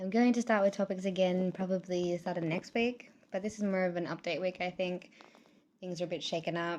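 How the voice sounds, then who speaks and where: A woman speaks at a fairly quick pace in a medium-pitched voice. Her intonation is fairly even. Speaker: vlogger. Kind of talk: casual vlog monologue. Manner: fast.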